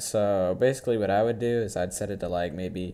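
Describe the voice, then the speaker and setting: The tone is dark and mellow, with ordinary pitch variation. The pace is moderate. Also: man. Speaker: gaming youtuber. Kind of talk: tutorial. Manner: halting, many fillers; casual.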